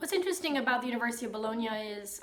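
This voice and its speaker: A woman with a fairly high voice speaks over noticeable background noise, her words carrying an audible room echo. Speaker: YouTuber, medieval history channel. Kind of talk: educational talk. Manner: casual with filler words.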